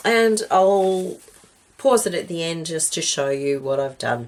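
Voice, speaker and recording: A woman's fairly low voice, fairly slow in pace, with lively intonation. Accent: Australian. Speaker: craft video maker. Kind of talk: crafting tutorial chat. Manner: casual, hesitant with many ums.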